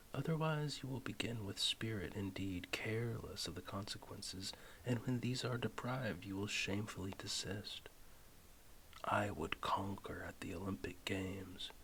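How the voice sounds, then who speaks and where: In a calm, soft-spoken tone, the speaker moves at a moderate pace. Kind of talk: philosophy text reading, audiobook-style ASMR. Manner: soft-spoken, calm.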